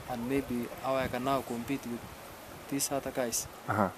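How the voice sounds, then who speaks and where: Noticeable background noise under a man's moderately paced speech. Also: dry sound with no echo. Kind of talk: interview answer. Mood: relaxed, laughing at times. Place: open country.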